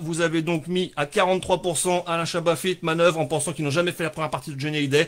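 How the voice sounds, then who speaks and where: A high-pitched man's voice on a very clean recording with a silent background. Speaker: livestream comedy show host. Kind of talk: casual live stream chat. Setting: live stream at home with sunset backlight. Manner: fast; animated.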